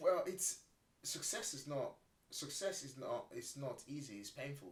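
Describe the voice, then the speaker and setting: Speaking at a fairly slow pace, a man's somewhat breathy voice carries lively intonation and big swings in loudness. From Nigeria. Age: 40s. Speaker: property entrepreneur. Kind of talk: podcast interview.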